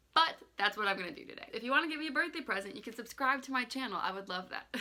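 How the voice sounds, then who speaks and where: A woman with a high pitch talks very fast, her intonation lively and her loudness swinging widely. Noticeable background noise runs underneath. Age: 20s. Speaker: lifestyle vlogger. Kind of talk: casual vlog talk.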